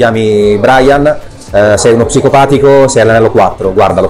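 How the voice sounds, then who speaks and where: A man talking at a fairly quick pace, ordinary pitch variation, music in the background. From Italy. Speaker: voice actor. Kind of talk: interview answer. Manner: casual, hesitant. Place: shop.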